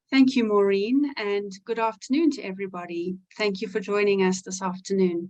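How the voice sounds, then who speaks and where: Her medium-pitched voice moves at a moderate pace, and this woman uses ordinary pitch variation. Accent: South African. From South Africa. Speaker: physical therapist. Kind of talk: webinar self-introduction.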